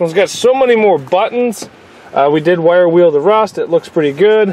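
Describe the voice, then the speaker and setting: Noticeable background noise sits behind a man with a high-pitched voice. He talks at a fairly quick pace with ordinary pitch variation. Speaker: car mechanic vlogger. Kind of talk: casual tutorial walkthrough.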